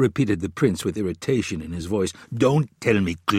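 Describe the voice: Intonation here is lively. The text is read aloud plainly.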